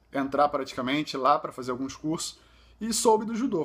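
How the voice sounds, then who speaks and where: A man's moderately paced voice with very wide pitch swings, in a very clean recording with a silent background. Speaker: visually impaired judo athlete, vlogger. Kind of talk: personal vlog testimony. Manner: halting, with fillers and self-corrections.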